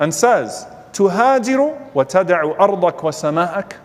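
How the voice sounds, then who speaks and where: A man is talking, and noticeable background noise can be heard with him. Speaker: Islamic lecturer. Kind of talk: Islamic sermon / religious lecture.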